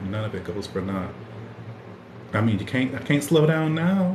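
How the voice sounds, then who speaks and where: A man at a moderate pace with lively intonation, audible room echo and noticeable background noise. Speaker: podcast host. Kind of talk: casual livestream chat. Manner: stuttering, repeats words.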